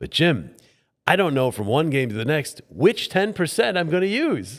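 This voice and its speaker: In an American accent, a man with a fairly high voice and vocal fry talks at a moderate pace with very wide pitch swings, recorded very cleanly over a silent background. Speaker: play-by-play sports broadcaster, voiceover mentor. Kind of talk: interview answer, conversational storytelling.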